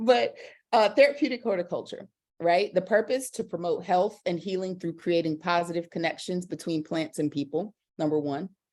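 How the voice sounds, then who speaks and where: On a very clean recording with a silent background, a woman with a Southern US accent speaks at a medium pitch and a moderate pace with lively intonation. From South Carolina Lowcountry. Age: 40s. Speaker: educator and garden coach. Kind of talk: presentation.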